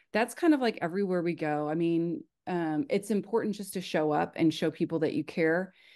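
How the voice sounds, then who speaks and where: Quiet background and a woman's dark, mellow, fairly low voice at a fairly quick pace with ordinary pitch variation. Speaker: church global missions staff. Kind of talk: informational presentation on video call. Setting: video call. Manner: fast.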